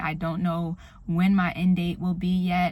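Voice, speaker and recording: Soft-spoken and somewhat breathy, a woman talks at a moderate pace with a fairly low pitch. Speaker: vlogger. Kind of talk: casual vlog. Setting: in a car.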